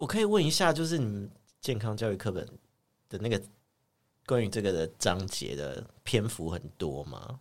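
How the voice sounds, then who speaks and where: With long, frequent pauses, a man talks at a fairly low pitch that moves in very wide swings. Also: moderate pace. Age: 40s. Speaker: podcast co-host. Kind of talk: casual chat.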